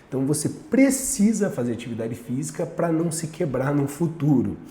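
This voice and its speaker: Over noticeable background noise and audible room echo, a man with a Brazilian accent talks in a fairly high, animated voice with lively intonation. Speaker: nutritionist and fitness coach. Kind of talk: casual talk to camera.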